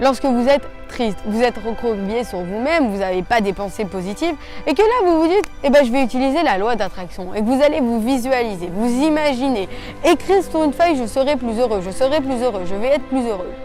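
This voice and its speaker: With music in the background, a woman speaks at a high pitch with lively intonation. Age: 20s. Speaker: motivational youtuber. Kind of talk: motivational talk.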